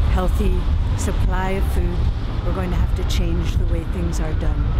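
A woman speaks over loud background noise. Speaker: organic farming advocate. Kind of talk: rally speech. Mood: earnest, advocating. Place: street. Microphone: phone near.

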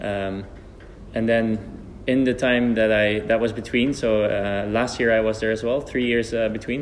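Monotone, flat male delivery in a Dutch accent, very even in loudness and fairly slow, with light background noise. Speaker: archer and channel host. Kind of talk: interview. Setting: training centre. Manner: halting. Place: hall.

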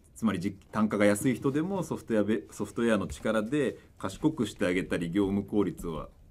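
With an ordinary speaking voice, a man talks at a fairly low pitch, using lively intonation and hardly any pauses. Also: fairly quick pace. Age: 30s. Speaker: startup CEO and investor; panelist. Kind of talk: panel discussion. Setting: live stream studio without audience. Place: studio. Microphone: studio mic.

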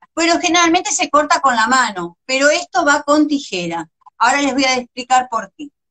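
A woman uses a raised, projected voice at a high pitch, with very wide pitch swings and a bright, sharp tone. She keeps a moderate pace, and the sound is dry and close with no echo. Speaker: visual artist and crafts teacher. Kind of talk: live-stream craft tutorial. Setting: Instagram live video.

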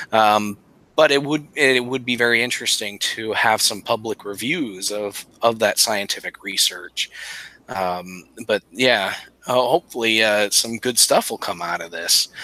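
Talking at a fairly slow pace with ordinary pitch variation, a man comes across in a dry sound with no echo. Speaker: podcast co-host. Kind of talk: casual chat. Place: home room. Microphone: headset.

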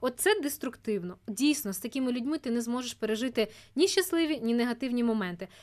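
Her intonation is lively and her pitch is high. The woman speaks at a very fast pace. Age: 20s. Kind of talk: casual chat.

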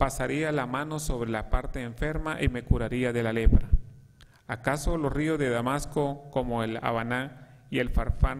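His pitch rises and falls in an ordinary way. The man speaks at a fairly slow pace. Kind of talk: scripture reading. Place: church. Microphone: podium.

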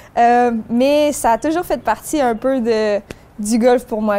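This woman speaks very slowly. Her pitch shifts in an ordinary way. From Quebec. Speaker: amateur golfer; interviewee. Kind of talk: interview. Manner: halting. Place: open country.

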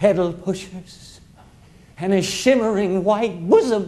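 His pitch varies in an ordinary way as a man proceeds at a fairly slow pace. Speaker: storyteller performer. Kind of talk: theatrical monologue storytelling. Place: stage.

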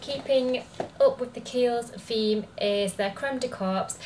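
A woman at a moderate pace with ordinary pitch variation over light background noise. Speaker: beauty vlogger. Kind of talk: casual vlog chat. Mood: cheerful, upbeat. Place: home room. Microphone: camera far.

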